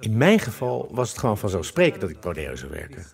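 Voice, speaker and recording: Speech comes at a fairly quick clip. Pitch leaps across a very wide range. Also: man. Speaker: interviewee, local resident who heard of the case. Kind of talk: casual interview talk.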